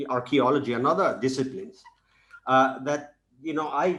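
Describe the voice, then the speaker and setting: In a Spanish accent, a man speaks at a fairly high pitch. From Spain. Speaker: professor. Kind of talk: lecture. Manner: halting, many fillers and repeats.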